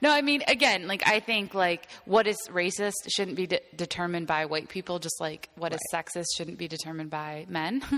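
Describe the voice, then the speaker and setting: A woman in an ordinary speaking voice talks at a moderate pace with fairly low pitch, lively intonation and hardly any pauses. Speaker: pop culture writer and podcast host. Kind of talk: casual chat.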